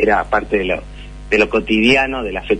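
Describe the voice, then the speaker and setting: Noticeable background noise runs behind a man who speaks at a fairly slow pace. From Chile. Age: 40s. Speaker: journalist. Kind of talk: interview.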